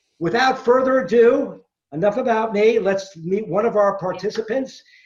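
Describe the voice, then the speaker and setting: Moderate pace, ordinary pitch variation, and a New York accent. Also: man, high pitch for a man. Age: 60s. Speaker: quizmaster, former sports radio host. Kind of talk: self-introduction at a trivia event. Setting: video call.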